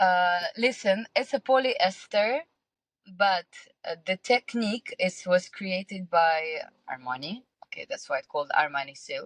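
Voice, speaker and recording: Her loudness swings widely as a woman speaks with lively intonation at medium pitch, somewhat breathy, in a dry, close sound with no echo. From Russia, small town. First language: Russian. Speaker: singer, model and entrepreneur. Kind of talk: podcast interview. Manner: halting, many fillers.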